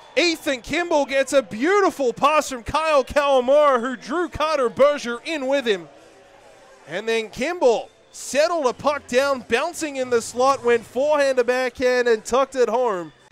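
With music in the background, a man speaks in an energetic tone at an extremely high pitch. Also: ordinary pitch variation, moderate pace. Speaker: hockey play-by-play announcer. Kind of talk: live hockey play-by-play commentary, highlight reel. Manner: energetic, emphatic on goals.

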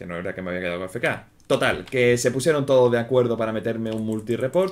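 Man speaking at a fairly quick pace. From Spain. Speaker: gaming YouTuber. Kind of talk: gameplay commentary. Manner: casual. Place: home room.

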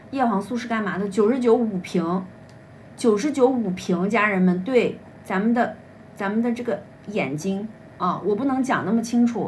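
An unremarkable speaking voice from a woman, fairly high in pitch, at a moderate pace with ordinary pitch variation, over light background noise. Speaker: livestream seller. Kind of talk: live-stream sales pitch. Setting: livestream. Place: home room. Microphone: phone near.

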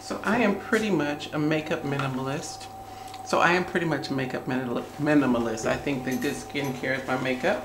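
A woman speaks at a moderate pace in a very deep, low voice with lively intonation. Noticeable background noise runs underneath. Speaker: beauty and lifestyle vlogger. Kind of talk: get-ready-with-me vlog, casual talk to camera. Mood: warm, chatty. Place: home room. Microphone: phone near.

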